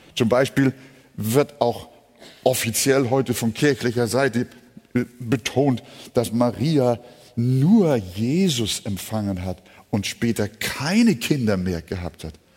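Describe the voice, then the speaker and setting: With long, frequent pauses, a man of medium pitch speaks at a very slow pace. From Hamburg, northern Germany. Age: 70s. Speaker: preacher. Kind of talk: sermon.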